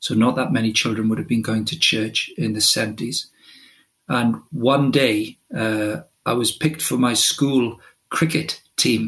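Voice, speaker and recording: This man has a Welsh accent and a medium-pitched voice. Vocal fry runs through his speech, with ordinary pitch variation. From Wales. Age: 50s. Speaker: football director and sports ministry leader. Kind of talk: interview.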